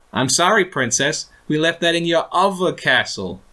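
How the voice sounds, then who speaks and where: A man uses a put-on character voice, squeaky and high-pitched, at a moderate pace with very even loudness. The recording is very clean, with a silent background. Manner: condescending, mocking.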